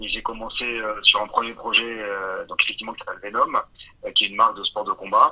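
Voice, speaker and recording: Noticeable background noise sits under a man who talks very fast. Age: 40s. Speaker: entrepreneur. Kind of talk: interview. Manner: hesitant, many fillers.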